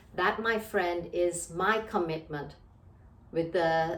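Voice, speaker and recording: There is audible room echo around this woman. Her pitch sits fairly low. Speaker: leadership trainer and coach. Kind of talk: motivational talk.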